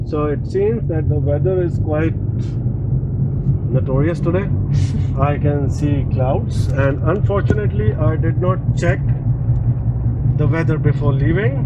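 Loud background noise sits behind a man talking at a fairly slow pace. His pitch varies in an ordinary way, with long, frequent pauses. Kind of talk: casual vlog chat. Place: car. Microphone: phone near.

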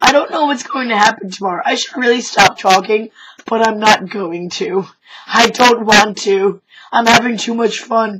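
Shouting loudly at a moderate pace, a woman uses a fairly high pitch with ordinary pitch variation. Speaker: retail worker. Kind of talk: casual talk to camera. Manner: loud, shouting.

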